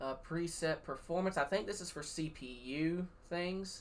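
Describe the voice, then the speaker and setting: Speaking in a Southern US accent, the voice moves at a fairly slow pace. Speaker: sim racing streamer and race broadcaster. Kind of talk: tutorial. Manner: sarcastic.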